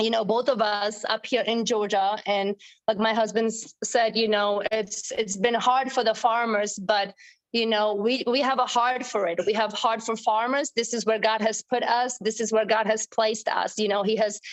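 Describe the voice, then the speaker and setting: A woman with a fairly high pitch and a Czech accent, monotone, flat intonation at a moderate pace. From Czech Republic. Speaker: dairy farmer. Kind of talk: personal testimony on a group call. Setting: online group call.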